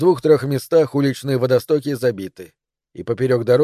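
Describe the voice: The speaker gives a plain reading aloud against a quiet background.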